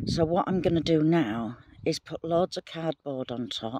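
The delivery is at a very slow pace, with a dry sound and no echo. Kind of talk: casual vlog chat. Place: garden. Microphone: phone near.

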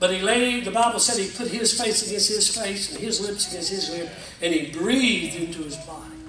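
A man's raised, projected voice, high in pitch, at a moderate pace with ordinary pitch variation, amid noticeable background noise and audible room echo. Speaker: pastor. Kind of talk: sermon. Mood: emotional, folksy storytelling. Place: church. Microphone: camera far.

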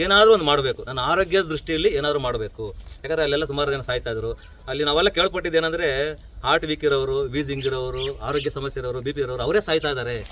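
This man has an unremarkable speaking voice, pitched fairly high. His pitch varies in an ordinary way. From Karnataka, Bengaluru. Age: 50s. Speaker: artist and hobby farmer. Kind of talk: casual talk to visitors.

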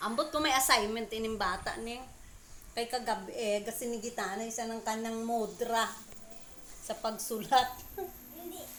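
There is noticeable background noise and audible room echo as a woman speaks at a fairly high pitch with fairly even intonation and long, frequent pauses. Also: moderate pace, big swings in loudness. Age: old. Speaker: vlogger. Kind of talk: casual vlog monologue.

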